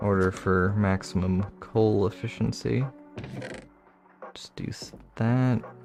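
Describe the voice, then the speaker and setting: Over music in the background, a man with a fairly low pitch talks at a very slow pace, leaving long, frequent pauses. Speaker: Minecraft streamer. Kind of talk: casual livestream gameplay commentary. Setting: livestream. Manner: flat, low-energy.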